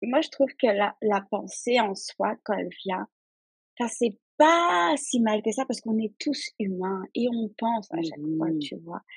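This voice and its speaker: A woman with a plain, everyday voice speaks at a fairly slow pace and fairly high pitch, her intonation lively, in a dry, close sound with no echo. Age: 20s. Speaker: insurance claims handler. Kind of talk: casual chat.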